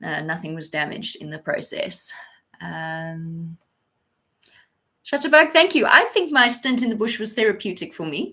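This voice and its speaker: With a bright, sharp tone and vocal fry, a woman with a fairly high pitch talks at a moderate pace, her pitch swinging very widely and her loudness rising and falling a lot between long, frequent pauses. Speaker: veterinary student livestreamer. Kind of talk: casual live stream Q&A.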